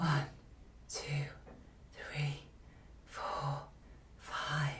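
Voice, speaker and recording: A put-on character voice whispers, quiet and breathy. Light background noise can be heard. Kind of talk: demonstration of a voice type.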